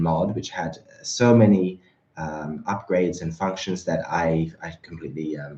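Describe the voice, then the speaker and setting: A man talks at a moderate pace, his pitch rising and falling in an ordinary way. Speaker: livestream host for a remote-control car company. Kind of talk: livestream chat reading viewer comments. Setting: livestream. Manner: hesitant with many fillers.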